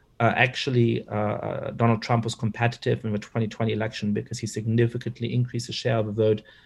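A man talks at a very fast pace, his voice somewhat breathy with a medium pitch. The recording is very clean, with a silent background. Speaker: political scientist and author. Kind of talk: interview.

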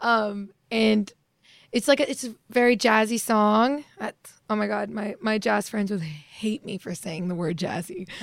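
An unremarkable speaking voice from a woman with an American accent, medium pitch, ordinary pitch variation and a fairly slow pace. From Virginia. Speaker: singer. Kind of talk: interview. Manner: casual, giggly.

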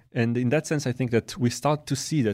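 A man speaks with an Israeli accent at a fairly quick pace. His pitch varies in an ordinary way. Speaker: neuroscience professor. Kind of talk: casual interview. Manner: fast talker.

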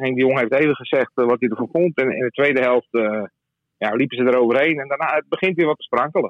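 The man talks very fast at a medium pitch, with ordinary variation in his pitch. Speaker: sports journalist. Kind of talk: casual chat.

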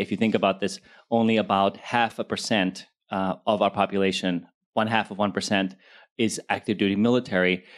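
An unremarkable speaking voice from a man, fairly low-pitched, fairly quick, with fairly even intonation, on a very clean recording with a silent background. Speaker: TV producer panelist. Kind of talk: panel discussion. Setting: stage with audience.

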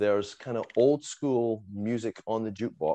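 The voice has a dark, mellow tone and keeps to a fairly slow pace. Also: man. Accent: Scottish. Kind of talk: casual chat. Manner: animated, halting.

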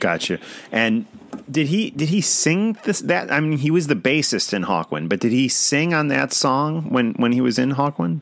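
Over noticeable background noise, a speaker with an American accent keeps a moderate pace and very even loudness while making very wide pitch swings. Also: man. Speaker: podcast host. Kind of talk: casual chat.

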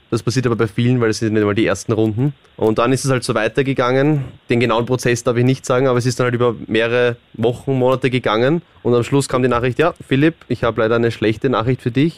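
Talking at a very fast pace with an Austrian accent, a man holds a medium pitch and fairly even intonation in a dry, close recording with no echo. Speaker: reality TV contestant. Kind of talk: casual chat. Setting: studio.

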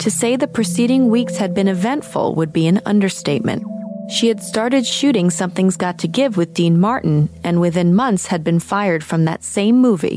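Over background music, a woman speaks in a serious, dramatic tone at medium pitch and a moderate pace. Her intonation is lively while her loudness stays very even. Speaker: podcast host and narrator. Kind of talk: true-crime documentary narration. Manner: measured, serious, dramatic storytelling pace.

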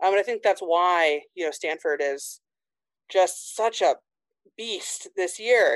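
A woman speaks with an American accent. The sound is dry and close, with no echo. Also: quiet background. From Indiana, small town. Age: 30s. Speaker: sports journalist. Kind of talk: casual interview.

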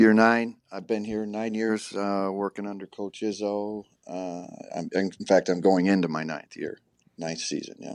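A man with an American accent at a fairly low pitch, monotone and flat, at a fairly slow pace with big swings in loudness, over a quiet background. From US Midwest, Michigan. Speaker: college basketball coach. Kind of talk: casual chat.

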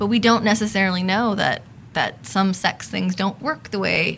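A woman speaks with a Californian accent at a fairly slow pace, her pitch medium. Her pitch varies in an ordinary way, and noticeable background noise can be heard. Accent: Californian American. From Los Angeles. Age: 30s. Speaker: sociologist. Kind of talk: casual interview.

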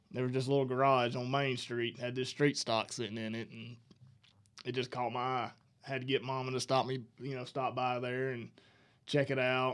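A man with a Southern US accent talks at a fairly quick pace. His medium-pitched voice is monotone, with flat intonation. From northern Alabama. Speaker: racing crew chief. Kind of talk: casual interview. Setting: studio.

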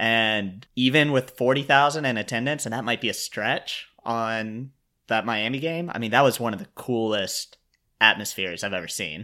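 On a very clean recording with a silent background, a man with a bright, sharp tone and medium pitch speaks at a moderate pace with ordinary pitch variation. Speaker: sports podcast host. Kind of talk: casual chat.

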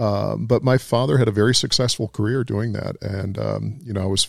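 Vocal fry runs through fairly even intonation on a very clean recording with a silent background. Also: man. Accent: American. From US South. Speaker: crime novelist. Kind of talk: casual chat.

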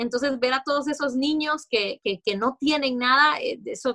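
A woman speaks at a high pitch with a Honduran accent. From Honduras. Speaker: TV sports and news presenter. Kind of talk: interview.

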